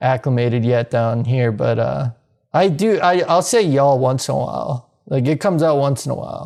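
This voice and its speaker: This man has a Midwestern accent. He talks at a moderate pace with lively intonation. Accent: Midwest. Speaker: mountain bike podcast co-host. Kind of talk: casual chat.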